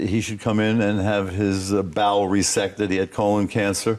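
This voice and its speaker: Using a plain, everyday voice, a man with an American accent speaks at a fairly low pitch and a moderate pace. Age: 60s. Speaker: scientist. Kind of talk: TV interview.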